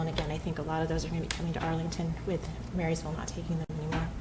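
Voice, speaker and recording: A woman talks at a very fast pace over noticeable background noise, with audible room echo. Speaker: judge. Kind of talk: presentation to city council. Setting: council meeting. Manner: hesitant with many fillers.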